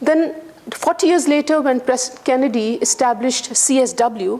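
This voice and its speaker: With noticeable background noise around her, a woman talks at a fairly quick pace in a high pitch with lively intonation. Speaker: guest lecturer. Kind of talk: lecture. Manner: loud.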